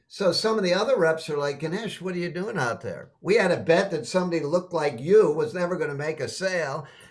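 Over noticeable background noise, a high-voiced man with an American accent rattles on at a very fast pace with hardly any pauses and ordinary pitch variation. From Boston, Massachusetts, US. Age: 70s. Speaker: sales trainer. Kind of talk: interview.

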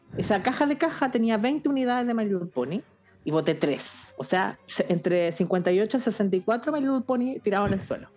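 Over music in the background, a woman speaks at a fairly high pitch and moderate pace, her pitch swinging very widely. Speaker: podcast co-host. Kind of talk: casual comedic chat. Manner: animated, joking.

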